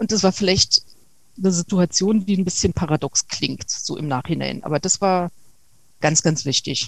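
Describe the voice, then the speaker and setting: At a moderate pace, a woman with a fairly low pitch and ordinary pitch variation is heard in a dry, close sound with no echo. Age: 40s. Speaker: interview guest sharing abuse survivor experience. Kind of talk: interview. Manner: halting.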